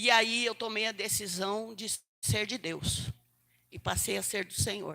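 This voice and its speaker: Her tone bright and sharp, a woman speaks fairly slowly with fairly even intonation and big swings in loudness. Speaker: preacher. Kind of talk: sermon. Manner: halting.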